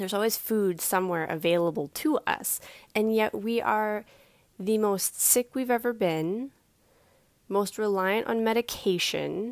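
This woman has an unremarkable speaking voice, fairly high in pitch with ordinary variation, at a fairly slow pace. Her loudness stays very even on a very clean recording with a silent background. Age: 30s. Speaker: podcast host. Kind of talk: solo podcast monologue. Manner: casual, frequent laughs.

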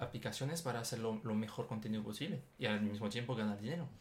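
A man talks at a fairly quick pace. He speaks with a French accent. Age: 20s. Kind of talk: casual chat. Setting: studio, sitting side by side. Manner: halting, repeats words.

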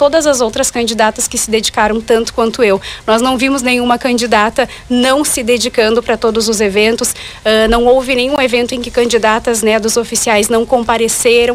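A woman's fairly high, flat, monotone voice at a fairly quick pace, with noticeable background noise. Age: 20s. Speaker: pageant candidate and journalist. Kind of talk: radio interview. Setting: radio studio.

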